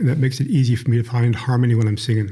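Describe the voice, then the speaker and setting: Very fast and somewhat breathy, a man speaks at a medium pitch in a flat monotone with a dark, mellow tone and audible room echo. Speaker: retired newspaper writer and church elder. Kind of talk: interview. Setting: conference room.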